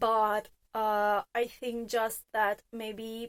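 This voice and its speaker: A woman speaks with a non-native accent. Her pitch sits fairly high. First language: not English. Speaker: fragrance reviewer. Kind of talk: product review monologue. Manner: casual, with frequent filler hesitations.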